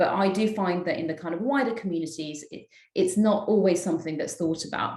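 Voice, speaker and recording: A woman speaks at a medium pitch with a London accent, her pitch varying in an ordinary way. Her pace is moderate, and audible room echo surrounds her voice. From London, England. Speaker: politician. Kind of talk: panel discussion. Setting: video call.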